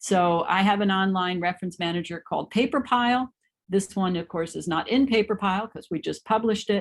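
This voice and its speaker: Woman at a medium pitch with ordinary pitch variation and a fairly quick pace, on a very clean recording with a silent background. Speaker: professor. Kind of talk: lecture. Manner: fast.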